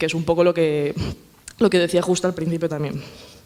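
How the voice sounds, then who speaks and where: Against noticeable background noise, a woman with a Galician accent talks with fairly even intonation. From Galicia, Spain. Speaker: politician and feminist speaker. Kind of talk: panel talk. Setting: panel at a summer university, with audience. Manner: fast.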